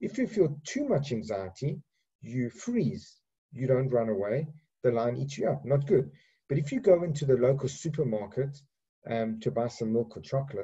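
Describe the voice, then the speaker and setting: At a moderate pace, a man with an African accent speaks at a medium pitch in a dark, mellow, somewhat breathy tone with lively intonation. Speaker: psychiatrist. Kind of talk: lecture. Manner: halting, many repetitions and fillers.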